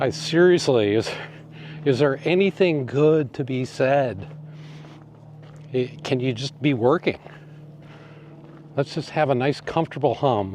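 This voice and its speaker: Over noticeable background noise, a man speaks at a fairly slow pace with ordinary pitch variation and long, frequent pauses. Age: 60s. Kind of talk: casual talk to camera. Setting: outdoors.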